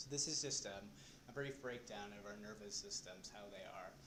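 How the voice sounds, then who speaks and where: Soft-spoken man at a moderate pace with ordinary pitch variation, amid audible room echo and noticeable background noise. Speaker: presenter at a support group. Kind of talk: lecture. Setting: in a room with a live audience. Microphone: recording may be too quiet.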